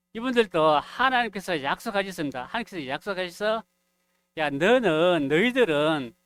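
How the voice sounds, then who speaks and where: Over a silent background in a very clean, dry and close recording with no echo, a man with a high pitch speaks loudly at a moderate pace with lively intonation. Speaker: preacher. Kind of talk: sermon. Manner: gets louder as he goes.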